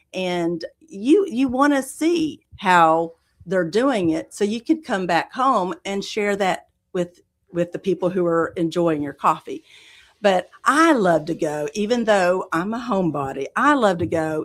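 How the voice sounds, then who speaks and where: In a Southern US accent, a woman speaks at a fairly slow pace and medium pitch. Her pitch swings very widely in a very clean recording with a silent background. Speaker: coffee roaster business owner. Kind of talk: interview.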